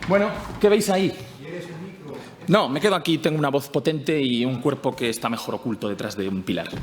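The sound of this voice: Fairly quick pace, ordinary pitch variation, and audible room echo. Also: man, medium pitch for a man.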